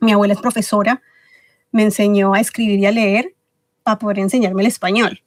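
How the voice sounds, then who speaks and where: In a dry, close recording with no echo, a woman speaks in a flat monotone at a fairly quick pace, stopping often for long pauses. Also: medium pitch for a woman, very even loudness. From Ecuador. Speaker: podcast guest, book club organizer. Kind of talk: interview.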